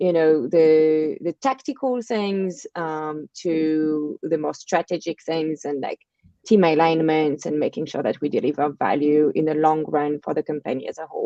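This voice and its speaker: A woman's very deep, low voice with a French accent, at a moderate pace with hardly any pauses and ordinary pitch variation. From France. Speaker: marketing agency partner and podcast host. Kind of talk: casual interview. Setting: live video stream.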